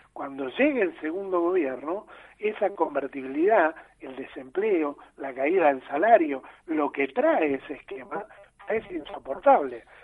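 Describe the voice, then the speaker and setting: Here a man with an unremarkable speaking voice talks fairly slowly at a fairly high pitch, with lively intonation and big swings in loudness. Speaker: political economy commentator. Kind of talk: explanatory interview.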